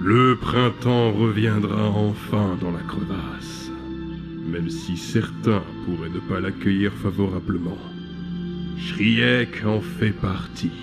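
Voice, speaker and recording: Over loud background music, a man speaks very slowly in a put-on character voice with a fairly low pitch. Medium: fan dub. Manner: calm, solemn.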